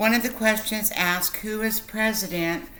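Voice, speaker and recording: A woman with an American accent has a bright, sharp tone and ordinary pitch variation. Audible room echo surrounds her voice. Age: 60s. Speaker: literacy tutor. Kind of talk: tutorial. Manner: slow and clear, repeating answers.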